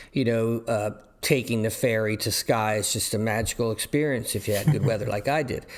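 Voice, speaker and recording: A man speaks with an American accent at a fairly quick pace. His pitch sits in the medium range, with fairly even intonation. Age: 60s. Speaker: golf author and historian. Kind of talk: podcast interview. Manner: halting, many fillers.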